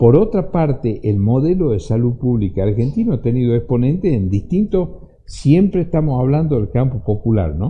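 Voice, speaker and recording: The speaker moves at a moderate pace and sounds somewhat breathy. The pitch swings very widely. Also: man, medium pitch for a man. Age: 60s. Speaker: lawyer and author, former security minister. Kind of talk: radio interview. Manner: halting, repeats words.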